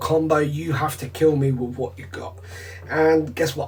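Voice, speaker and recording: Amid noticeable background noise and audible room echo, a man with a British accent speaks in a fairly high pitch. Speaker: card game vlogger. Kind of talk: vlog commentary over gameplay footage. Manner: casual.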